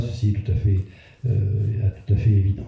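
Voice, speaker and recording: A man talks at a fairly slow pace. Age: 70s. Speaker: retired cancer doctor giving a public talk. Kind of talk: public health lecture. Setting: community hall with audience. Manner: hesitant with frequent fillers.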